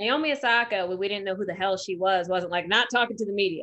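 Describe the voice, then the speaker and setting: Against a quiet background, a bright, sharp voice moves at a fairly quick pace with ordinary pitch variation. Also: woman. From Detroit, US Midwest. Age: 30s. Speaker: podcast co-host. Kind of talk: casual chat. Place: home room. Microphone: video call.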